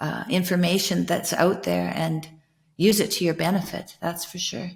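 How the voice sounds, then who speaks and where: A woman speaks at a moderate pace with vocal fry. Her pitch is fairly low and her intonation monotone and flat. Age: 60s. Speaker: podcast host. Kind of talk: casual conversation.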